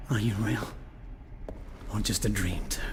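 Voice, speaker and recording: Over clear background noise, a man uses a put-on character voice at a fairly low pitch. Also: moderate pace. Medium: machinima. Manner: brooding, intense.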